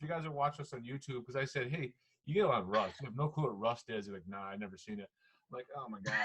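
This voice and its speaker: Pitching his voice fairly high with very wide swings, a man talks at a very fast pace. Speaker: podcast host. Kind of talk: casual chat. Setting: call.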